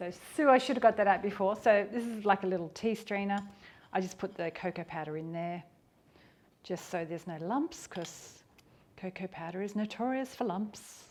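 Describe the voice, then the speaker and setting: A woman with an Australian accent shows big swings in loudness and ordinary pitch variation. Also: medium pitch for a woman. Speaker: cooking youtuber. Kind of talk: cooking tutorial. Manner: fast; casual.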